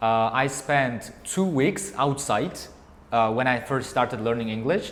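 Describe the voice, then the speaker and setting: A man with an Uzbek accent talks at a fairly slow pace, with audible room echo and noticeable background noise. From Uzbekistan, Bukhara. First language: Uzbek and Tajik. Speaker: English teacher. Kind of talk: interview before a class audience. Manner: halting.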